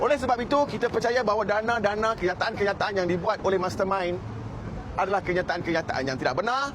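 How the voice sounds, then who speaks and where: Audible room echo and noticeable background noise surround a man speaking at a moderate pace. His voice is high-pitched, with lively intonation. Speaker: NGO official at press conference. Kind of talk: press conference statement. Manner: formal.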